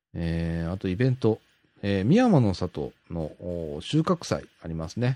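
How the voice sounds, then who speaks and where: The voice has a dark, mellow tone with very wide pitch swings at a fairly slow pace. The sound is dry and close with no echo, over a quiet background. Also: man, very deep, low pitch for a man. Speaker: podcast host. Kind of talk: solo radio-style podcast reading local news. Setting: home studio. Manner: filler-heavy, rambling.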